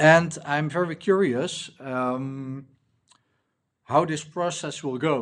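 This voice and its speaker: Over a quiet background, a man talks with ordinary pitch variation. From Netherlands. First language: Dutch. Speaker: indie app builder, coach. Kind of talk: casual vlog, unscripted walkthrough. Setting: recording at laptop. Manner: halting, many fillers.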